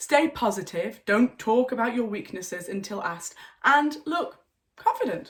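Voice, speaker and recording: A woman with a Yorkshire accent speaks at a very slow pace, somewhat breathy. Her fairly high voice has very wide pitch swings. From North Yorkshire, England. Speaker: English teacher. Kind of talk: online English lesson to camera. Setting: home.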